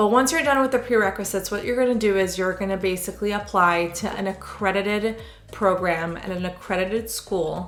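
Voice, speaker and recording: A woman speaks very fast at medium pitch with ordinary pitch variation, with noticeable background noise and audible room echo. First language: Hebrew. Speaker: sonographer. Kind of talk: casual Q&A vlog. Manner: conversational, with frequent fillers.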